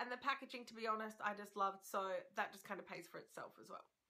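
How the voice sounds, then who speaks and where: An animated woman speaks in a raised, projected voice with an Australian accent. Her pace is very fast. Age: 30s. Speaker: beauty vlogger. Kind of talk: product review. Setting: at home.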